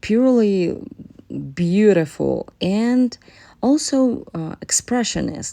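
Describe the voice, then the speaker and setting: Very wide pitch swings against a quiet background. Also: woman. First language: not English (English is third language). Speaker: painter. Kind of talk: narrated painting process. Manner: halting, many fillers.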